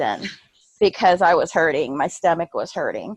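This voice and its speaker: A woman speaks at a moderate pace with lively intonation. The sound is dry and close, with no echo. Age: 60s. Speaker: new fitness coach. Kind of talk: video team call. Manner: halting.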